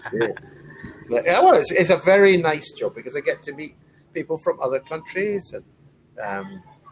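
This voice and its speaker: A man at a moderate pace, with long, frequent pauses, big swings in loudness and noticeable background noise. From Scotland. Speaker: online English tutor. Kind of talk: casual conversation lesson.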